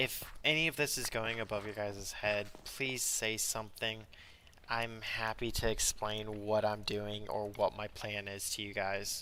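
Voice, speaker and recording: In a normal speaking voice, a man talks at a fairly slow pace, with a fairly low pitch and fairly even intonation. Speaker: video game streamer. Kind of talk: live gameplay stream chat.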